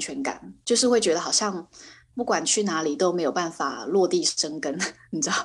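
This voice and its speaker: This woman's voice swings very widely in pitch. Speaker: illustrator and fashion designer. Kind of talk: interview.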